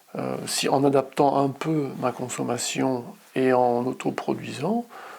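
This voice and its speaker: A man speaks at a very slow pace with fairly even intonation and a medium pitch. Noticeable background noise runs behind him. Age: 60s. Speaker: customer testimonial, psychologist. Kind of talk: interview testimony. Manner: hesitant, with fillers.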